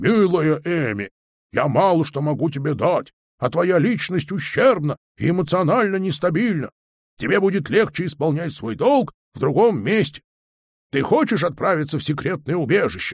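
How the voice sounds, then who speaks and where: Using a put-on character voice, a man speaks with a high pitch and lively intonation at a moderate pace, leaving long, frequent pauses. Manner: stern, severe.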